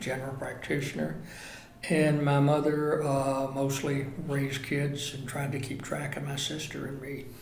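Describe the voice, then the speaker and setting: Through noticeable background noise and audible room echo, a man with an American accent speaks in a monotone, flat way at a fairly high pitch and moderate pace. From North Carolina mountains (Blowing Rock). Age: 70s. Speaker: local resident interviewee. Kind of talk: oral history interview.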